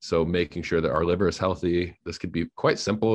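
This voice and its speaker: A man talks at a fairly quick pace in a very deep, low pitch. His pitch variation is ordinary, and the background is quiet. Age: 20s. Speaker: health coach. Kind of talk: casual interview.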